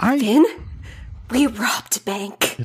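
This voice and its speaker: In a put-on character voice, a female-sounding voice speaks at a fairly high pitch with a raspy quality. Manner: too loud, blurting out.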